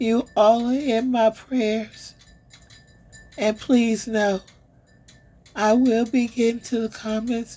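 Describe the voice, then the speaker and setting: Her voice is somewhat breathy, warm, dark and mellow, set at a fairly high pitch for a woman, delivered at a very slow pace with monotone, flat intonation. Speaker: online commentary channel host. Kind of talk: casual update to viewers. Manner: warm, affectionate.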